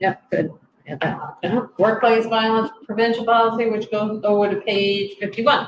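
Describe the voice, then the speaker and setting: A plain, everyday voice from a woman, fairly high in pitch, with fairly even intonation and a moderate pace. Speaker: select board chair. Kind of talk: public meeting. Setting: town hall meeting room.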